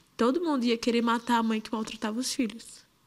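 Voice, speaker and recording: Speaking at a moderate speed, this woman has a fairly high pitch. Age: 20s. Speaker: assault victim. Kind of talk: testimony. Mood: fearful, distressed. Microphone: handheld.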